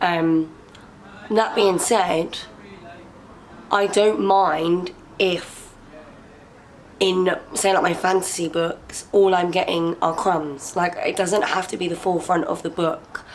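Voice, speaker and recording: A woman with an English accent talks very slowly in a medium pitch, her intonation fairly even and her pauses long and frequent, with noticeable background noise behind her. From England. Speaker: booktuber. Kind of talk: casual Q&A vlog.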